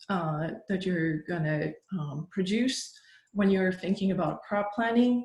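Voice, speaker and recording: A woman speaks at a fairly slow pace, sounding somewhat breathy. Audible room echo surrounds her voice. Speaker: workshop presenter on agricultural marketing. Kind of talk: lecture.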